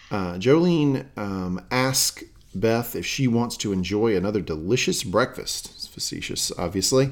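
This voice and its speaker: A plain, everyday voice from a man with an American accent, medium in pitch, with lively intonation at a fairly slow pace. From US South. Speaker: podcast host. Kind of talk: casual chat.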